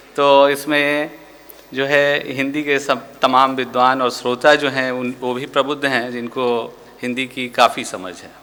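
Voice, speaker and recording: A man talks in a monotone, flat intonation with big swings in loudness. Noticeable background noise runs behind him. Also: medium pitch for a man. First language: Maithili (speaking Hindi). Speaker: museum director and art historian. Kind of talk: formal lecture. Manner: hesitant with fillers.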